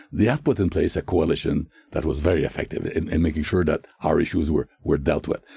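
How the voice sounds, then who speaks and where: A man with a Quebec accent, talking very fast, dark and mellow in tone, with vocal fry and lively intonation. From Quebec, Canada (Shawinigan). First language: French. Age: 80s+. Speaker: retired diplomat. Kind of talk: interview. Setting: studio. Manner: halting.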